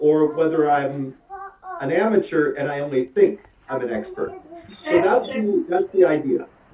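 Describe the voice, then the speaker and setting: A man with an American accent speaks at a moderate pace. Background noise is noticeable. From US. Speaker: motorcycle riding instructor. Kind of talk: online talk. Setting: video call. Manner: animated.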